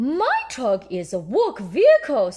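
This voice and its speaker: A woman's high, put-on character voice at a fairly slow pace. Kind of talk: bedtime story. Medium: read story. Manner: hearty, nautical.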